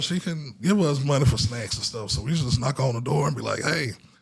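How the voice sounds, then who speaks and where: A man talks at a very fast pace with lively intonation. There is noticeable background noise. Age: 40s. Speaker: podcast host. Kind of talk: casual chat.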